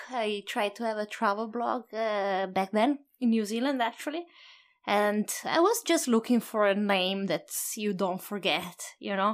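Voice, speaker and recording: A woman with an Italian accent speaks at a fairly slow pace on a very clean recording with a silent background. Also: fairly high pitch for a woman, ordinary pitch variation. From Italy. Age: 30s. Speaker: solo traveler and photographer. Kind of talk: interview. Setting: in a home.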